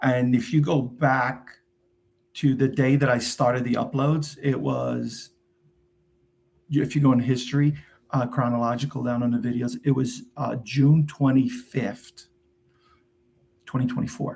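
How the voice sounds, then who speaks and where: The man's somewhat breathy voice keeps a monotone, flat intonation, broken by long, frequent pauses. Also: medium pitch for a man, fairly slow pace. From New Jersey, US (immigrant from Portugal at 9). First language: Portuguese. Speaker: YouTuber and tax preparer. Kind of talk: live stream Q&A, casual chat. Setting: live stream. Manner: casual, many fillers and restarts.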